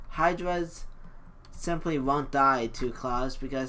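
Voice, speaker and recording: Audible room echo surrounds the recording. A man talks with fairly even intonation. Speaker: gaming video creator. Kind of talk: let's play commentary. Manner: casual, with filler ums.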